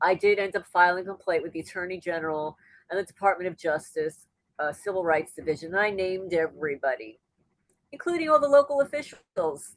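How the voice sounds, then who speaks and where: A woman at medium pitch moves through very wide pitch swings at a fairly quick pace. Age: 60s. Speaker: homesteading YouTuber and interviewee. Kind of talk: casual interview, personal testimony.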